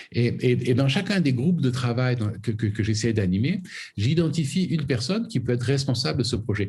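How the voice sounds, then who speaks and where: In a room with audible echo, a man talks fairly quickly at a medium pitch, somewhat breathy, with lively intonation and very even loudness. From southern France (Camargue). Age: 60s. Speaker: foundation president and conservationist. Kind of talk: interview. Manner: halting, many repetitions.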